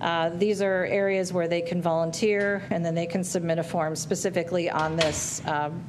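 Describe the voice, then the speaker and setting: A woman at a fairly low pitch and a moderate pace with fairly even intonation, with noticeable background noise and audible room echo. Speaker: branding agency presenter. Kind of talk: presentation to school board. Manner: loud.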